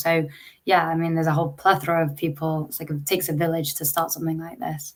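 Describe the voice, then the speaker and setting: This woman has an English accent. Her pitch sits fairly low. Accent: English accent, noticeable. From England. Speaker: startup founder and CEO. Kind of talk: interview.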